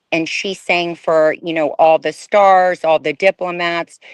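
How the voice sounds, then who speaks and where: In a dry, close recording with no echo and a quiet background, a woman with a normal speaking voice talks at a fairly slow pace, fairly low in pitch, with fairly even intonation. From Bulgaria, raised in US from age 4-5. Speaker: former fashion model. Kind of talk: interview testimony.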